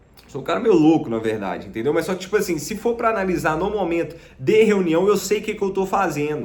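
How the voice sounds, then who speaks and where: Very fast, high-pitched male speech with ordinary pitch variation over noticeable background noise. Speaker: sales closer and digital marketing youtuber. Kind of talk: casual vlog monologue. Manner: many fillers (né, tá).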